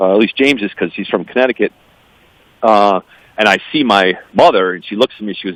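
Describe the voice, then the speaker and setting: Speaking very fast in an American accent, a man with a fairly low pitch and ordinary pitch variation takes long, frequent pauses, and his loudness swings widely. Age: 50s. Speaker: adoptee advocate, business executive. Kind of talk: radio interview.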